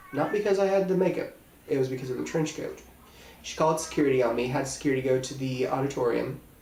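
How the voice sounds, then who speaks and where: Over noticeable background noise and audible room echo, a man with an American accent speaks at a fairly quick pace with ordinary pitch variation. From Indiana, Terre Haute. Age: 20s. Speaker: special effects makeup artist. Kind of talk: audition video monologue.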